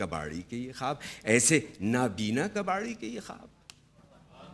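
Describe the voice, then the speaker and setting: A man is speaking. His pitch swings very widely. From Pakistan. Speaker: television artist. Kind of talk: poetry reading.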